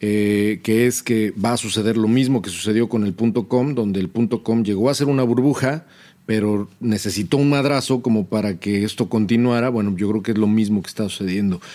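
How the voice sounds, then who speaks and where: A man speaks at a fairly quick pace in a fairly low pitch, with a dark, mellow tone. His intonation stays fairly even, and the recording is very clean with a silent background. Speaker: podcast co-host, video game industry founder. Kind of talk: casual chat.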